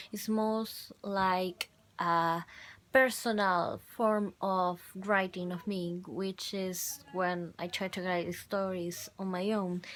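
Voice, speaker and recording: With a Spanish accent, a woman talks very slowly at a medium pitch, her intonation fairly even. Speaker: university student. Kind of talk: video journal. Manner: halting.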